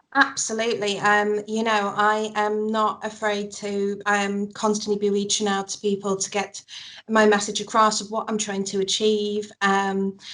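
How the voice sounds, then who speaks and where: A woman talks at a moderate pace and medium pitch in a Manchester accent. Her intonation is monotone and flat. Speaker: mental health campaigner. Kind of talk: interview. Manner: halting.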